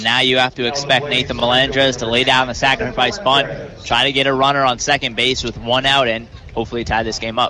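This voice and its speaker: Very fast speech from a man, fairly even in intonation, over noticeable background noise. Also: medium pitch for a man. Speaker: color commentator. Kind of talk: radio baseball color analysis.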